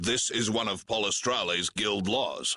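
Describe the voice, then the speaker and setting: A man's put-on character voice, fairly low in pitch, at a moderate pace. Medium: short film. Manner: formal, polite but firm.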